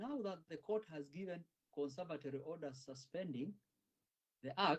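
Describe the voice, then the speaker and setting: At a moderate pace, a man uses an ordinary speaking voice with a fairly high pitch and ordinary pitch variation. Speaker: lawyer. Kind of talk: courtroom legal submission. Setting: courtroom. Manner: formal.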